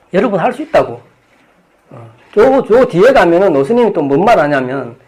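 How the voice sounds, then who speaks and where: Here a man is talking. The pitch of his voice swings very widely. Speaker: Buddhist monk lecturer. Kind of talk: dharma lecture. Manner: fast.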